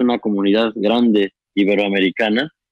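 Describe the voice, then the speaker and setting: A man with a Mexican accent speaks at a fairly quick pace with fairly even intonation. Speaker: documentary filmmaker, interviewer. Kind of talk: casual chat.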